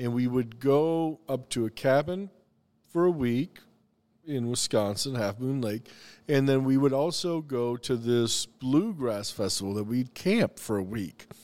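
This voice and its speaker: A plain, everyday voice speaks at a fairly slow pace with lively intonation. The recording is very clean, with a silent background. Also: man, medium pitch for a man. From US South, the Carolinas. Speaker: chef and restaurateur. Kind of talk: casual chat.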